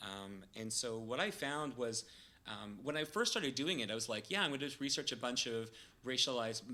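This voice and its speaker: This man speaks with a Canadian accent, his medium pitch carrying ordinary variation and a bright, sharp tone. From Canada, Toronto. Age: 40s. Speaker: PhD researcher in kinesiology. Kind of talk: podcast interview. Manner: hesitant, many filler words.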